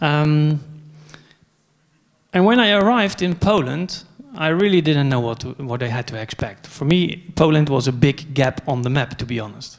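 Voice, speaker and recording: With lively intonation, a man talks in a fairly high pitch. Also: moderate pace. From Netherlands. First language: Dutch. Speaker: conference speaker, software company co-founder. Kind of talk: conference talk. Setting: stage with audience. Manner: hesitant, many fillers.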